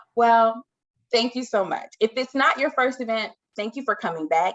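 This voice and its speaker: Speaking at a moderate pace, a woman with an American accent has an animated tone. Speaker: event host. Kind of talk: virtual event hosting.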